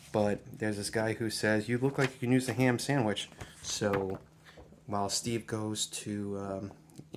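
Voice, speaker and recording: A man talks at a moderate pace. His pitch is fairly low and his intonation fairly even. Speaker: comic book YouTuber. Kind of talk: casual review monologue. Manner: halting, many fillers and restarts.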